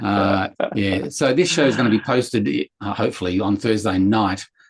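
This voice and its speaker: A man with a slight Sydney accent speaks at a fairly low pitch. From Sydney, Australia. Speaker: comics chat show co-host, cartoonist. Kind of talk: casual chat.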